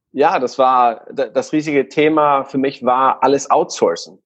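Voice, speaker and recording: A man speaks with a Guatemalan accent. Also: dry, close sound with no echo. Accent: non-native German, Guatemalan. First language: Spanish (speaking German). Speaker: online retailer. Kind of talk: casual interview.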